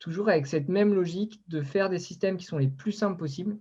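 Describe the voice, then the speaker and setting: A man's fairly quick speech, with ordinary pitch variation, sits in a quiet background. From Brittany, France (Concarneau). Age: 20s. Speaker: ocean project founder, engineer and former merchant navy officer. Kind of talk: online interview talk. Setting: online video conference. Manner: halting, many fillers.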